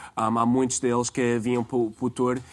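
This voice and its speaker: A man's medium-pitched voice with an American accent and flat, monotone intonation. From United States. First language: English (speaking Portuguese). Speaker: tour guide. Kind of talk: TV interview. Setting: TV studio. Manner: halting, many fillers.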